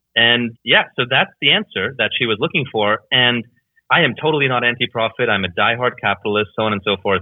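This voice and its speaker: Fairly quick in pace, a man speaks with a normal speaking voice, medium pitch and ordinary pitch variation. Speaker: entrepreneur. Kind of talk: interview. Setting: Skype call.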